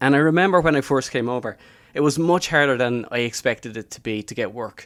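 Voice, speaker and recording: Speaking very fast with a Dublin accent, a man shows big swings in loudness and ordinary pitch variation. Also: medium pitch for a man. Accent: Dublin Irish. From Ireland, Dublin. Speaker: life coach. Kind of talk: podcast interview. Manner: casual conversational.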